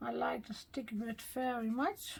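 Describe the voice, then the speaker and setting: A woman with a Dutch accent. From Netherlands. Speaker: card-making crafter. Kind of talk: tutorial. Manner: halting, with fillers.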